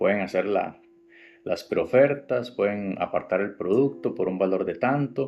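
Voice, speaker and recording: A man speaks with a Costa Rican accent. His pace is moderate. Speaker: woodworking podcast host. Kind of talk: podcast tutorial. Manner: casual, with fillers.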